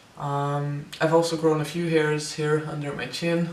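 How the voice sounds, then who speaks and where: Amid noticeable background noise and audible room echo, a man speaks in a monotone, flat way at fairly high pitch. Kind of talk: personal vlog update. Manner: hesitant, many fillers.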